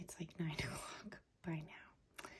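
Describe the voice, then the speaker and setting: A woman speaks in a soft-spoken, relaxed tone. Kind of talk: casual talk to camera, ASMR get-ready-with-me chat.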